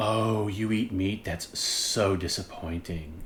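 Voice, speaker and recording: A put-on character voice from a man, husky and fairly low in pitch, fairly slow in pace with fairly even intonation, over clear background noise. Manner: disappointed, judgmental.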